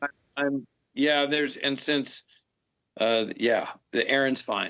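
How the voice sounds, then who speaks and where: Music plays in the background as the speaker, in a Pacific Northwest accent, talks at a very slow pace. The intonation stays fairly even and the loudness very even. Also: man, fairly high pitch for a man. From US Pacific Northwest, Seattle. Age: 50s. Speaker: fire officer, instructor. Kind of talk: interview.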